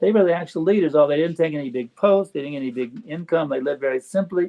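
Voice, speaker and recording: The delivery is very fast. Pitch variation is ordinary. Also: man. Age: 70s. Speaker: spiritual teacher. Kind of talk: interview. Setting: podcast. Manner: mellow.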